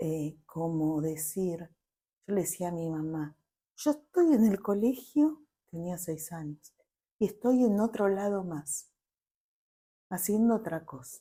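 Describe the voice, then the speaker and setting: A woman's somewhat breathy, dark, mellow voice, fairly low in pitch, very slow, with long, frequent pauses and big swings in loudness. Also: lively intonation. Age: 50s. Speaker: family constellations therapist. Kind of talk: interview.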